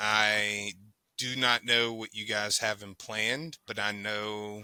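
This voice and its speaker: With a Southern US accent, a man speaks at a very slow pace in a fairly low, bright and sharp voice, his intonation monotone and flat. His loudness swings widely on a very clean recording with a silent background. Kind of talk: casual podcast conversation.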